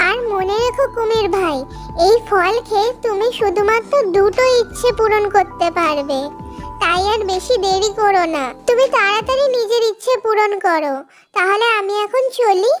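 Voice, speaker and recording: Over faint background music, a cartoonish character voice at an extremely high pitch talks at a fairly slow pace. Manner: polite, earnest.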